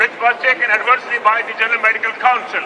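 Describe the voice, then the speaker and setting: With a raised, projected voice, a man talks at an extremely high pitch in a monotone, flat delivery against noticeable background noise. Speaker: surgeon speaking at the rally. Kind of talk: rally speech. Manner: halting, non-native English.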